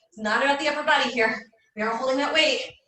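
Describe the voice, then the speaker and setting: A woman speaks at a very fast pace in a high pitch. Audible room echo surrounds her voice. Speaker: fitness instructor. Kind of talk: live workout class instruction. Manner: breathy exertion while exercising.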